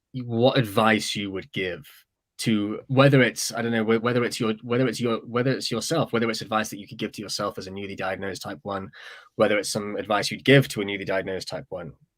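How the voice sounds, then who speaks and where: A man with a British accent speaks at a very fast pace and a fairly low pitch, his intonation fairly even. His loudness swings widely in a very clean recording with a silent background. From Britain. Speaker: webinar host. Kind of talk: panel discussion moderation. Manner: halting, many repetitions.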